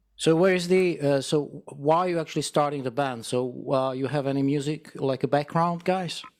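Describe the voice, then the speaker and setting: Fairly even intonation from a man with a fairly high pitch, a non-native accent, and a fairly quick pace. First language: not English. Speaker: radio host. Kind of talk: interview. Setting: video call.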